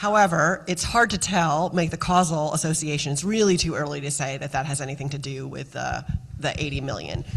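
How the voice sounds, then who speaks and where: Over noticeable background noise, a woman talks at a fairly quick pace. Her pitch is very deep and low, with ordinary variation. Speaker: state health official. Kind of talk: panel discussion.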